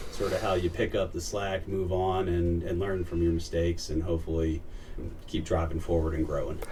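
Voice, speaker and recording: A man with a Philadelphia accent, very deep and low in pitch, at a fairly quick pace with ordinary pitch variation and audible room echo. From Philadelphia, US. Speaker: family law attorney, firm founder. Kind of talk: casual interview chat. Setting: in-person interview.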